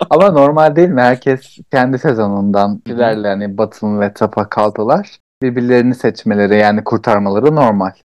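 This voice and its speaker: A man with a plain, everyday voice speaks in a medium pitch at a moderate pace, with ordinary pitch variation and hardly any pauses, in a dry, close sound with no echo. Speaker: podcast co-host. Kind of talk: casual chat.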